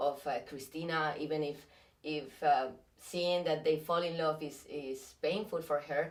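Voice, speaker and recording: A woman with a very deep, low pitch speaks in a Spanish accent. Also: fairly even intonation, fairly slow pace. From Spain. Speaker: actress. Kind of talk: interview. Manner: halting.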